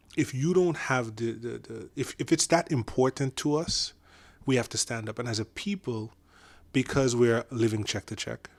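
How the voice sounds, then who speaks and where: This man has a Caribbean accent and a medium pitch. His tone is animated, and the sound is dry and close with no echo. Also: ordinary pitch variation, moderate pace, very clean recording, silent background. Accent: Caribbean accent, kept. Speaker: podcast guest. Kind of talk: casual discussion. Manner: animated, with many fillers and restarts.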